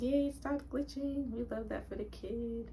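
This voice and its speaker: Fairly slow speech from a woman, noticeable background noise underneath. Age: 20s. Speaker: notary public. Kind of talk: casual talk to camera. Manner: casual, chatty.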